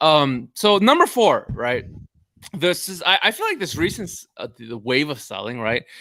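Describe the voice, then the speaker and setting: A high-pitched man's voice with a bright, sharp tone, a Korean accent and a moderate pace. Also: big swings in loudness. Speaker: bitcoin panelist. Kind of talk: casual chat. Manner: halting.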